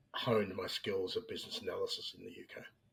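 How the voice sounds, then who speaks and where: In an Australian accent, a man delivers his words at a fairly quick pace. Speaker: business analyst. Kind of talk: interview podcast.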